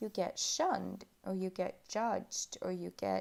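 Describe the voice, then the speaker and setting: On a very clean recording with a silent background, a woman of medium pitch speaks very slowly in a dark, mellow tone. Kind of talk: relaxing ASMR chat about astrology.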